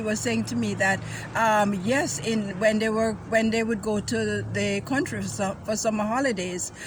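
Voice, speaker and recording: With a fairly high pitch, a woman talks at a moderate pace as noticeable background noise carries on. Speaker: culinary tour host. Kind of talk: casual chat. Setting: outdoors in back garden.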